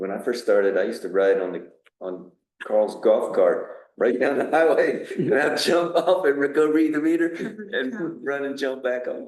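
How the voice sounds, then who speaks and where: There is audible room echo as a man talks at a moderate pace. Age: 60s. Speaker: water system operator. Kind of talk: town board meeting discussion. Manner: hesitant, with fillers.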